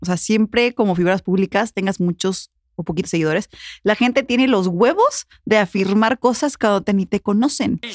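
A woman's normal speaking voice at medium pitch, with ordinary pitch variation, very even loudness and a moderate pace, in a very clean recording with a silent background and a dry, close sound with no echo. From Puebla, Mexico. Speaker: podcast host. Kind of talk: casual interview.

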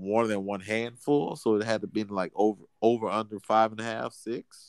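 This man has an ordinary speaking voice, fairly low in pitch, moving at a fairly slow pace with fairly even intonation. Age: 30s. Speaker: podcast co-host. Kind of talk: casual chat.

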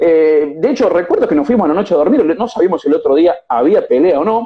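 A man speaks very fast in a high pitch with lively intonation. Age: young. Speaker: boxing journalist. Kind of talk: interview.

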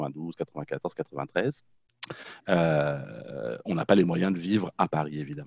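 With a Norman accent, a man speaks very slowly in a very deep, low voice with vocal fry and ordinary pitch variation, the sound dry and close with no echo. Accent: French, Norman rather than banlieue. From France, Normandy (Caen). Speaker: therapist and social educator. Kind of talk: casual interview.

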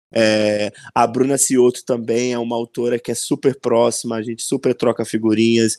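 With a dark, mellow tone at a medium pitch, a man talks at a moderate pace in a monotone, flat intonation with hardly any pauses, the sound dry and close with no echo. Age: 20s. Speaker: author. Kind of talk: casual interview.

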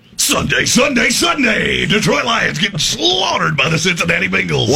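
A man shouts in a put-on character voice at a moderate pace.

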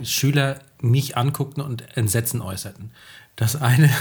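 A man speaks at a medium pitch with a somewhat breathy voice and fairly even intonation. The recording is very clean, with a silent background. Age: 30s. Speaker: teacher and podcast co-host. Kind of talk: casual chat.

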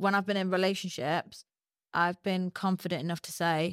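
A woman speaks at a fairly low pitch and a fairly quick pace. The recording is very clean with a silent background, and the sound is dry and close with no echo. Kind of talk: casual chat. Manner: fast talker.

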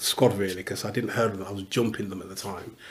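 Somewhat breathy and fairly low-pitched, the man speaks in a monotone with flat intonation. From English Midlands (Newark, Leicester). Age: 60s. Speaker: pastor and football club chaplain. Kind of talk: casual interview.

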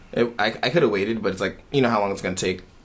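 A man with an American accent, fairly low in pitch, at a very fast pace with ordinary pitch variation and noticeable background noise. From Philadelphia. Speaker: podcast co-host. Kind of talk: casual chat. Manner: animated.

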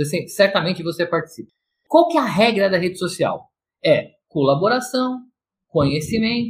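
A man's high-pitched voice moves through very wide pitch swings. He keeps a moderate pace. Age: 50s. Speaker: consultant and coach. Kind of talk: podcast interview, explanatory talk.

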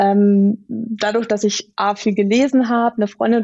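A woman speaks at a fairly high pitch and a moderate pace. Her intonation stays monotone and flat. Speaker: visual facilitator / illustrator. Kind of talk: podcast interview. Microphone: good sound quality.

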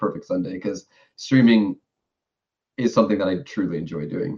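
With a New York accent and vocal fry, a man talks at a fairly quick pace. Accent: New York American. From New York City. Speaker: streamer. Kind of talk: casual interview.

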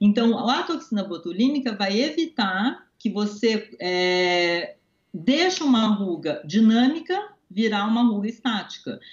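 Lively intonation runs through an ordinary speaking voice at a fairly slow pace. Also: woman, fairly high pitch for a woman. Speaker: dentist. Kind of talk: interview.

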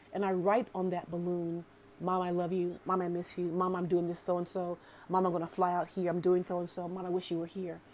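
Over noticeable background noise, a woman with a fairly low pitch talks at a fairly quick pace in an animated tone. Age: 40s. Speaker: podcast host, self-care coach. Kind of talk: casual monologue. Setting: home, sitting with coffee.

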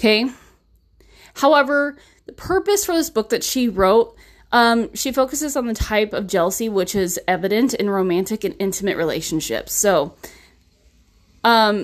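Over a very clean recording with a silent background, a woman speaks fairly slowly with lively intonation. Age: 30s. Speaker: podcast host. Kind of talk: casual monologue about a self-help book. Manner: casual, with fillers and laughs.

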